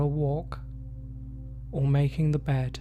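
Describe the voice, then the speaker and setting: Over music in the background, a man talks fairly slowly in a calm tone. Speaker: hypnotherapist. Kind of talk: hypnosis session. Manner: slow, calm.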